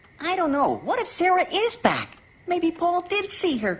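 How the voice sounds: A squeaky, cartoonish character voice in an extremely high pitch, at a moderate pace.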